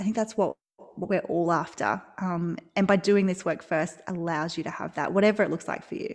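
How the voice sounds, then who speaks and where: A woman with an Australian accent speaks at a moderate pace. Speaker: maternity leave coach. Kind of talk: casual interview chat.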